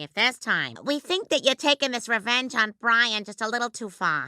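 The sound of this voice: On a very clean recording with a silent background, a woman does a cartoonish character voice at a moderate pace, in a fairly high pitch with lively intonation.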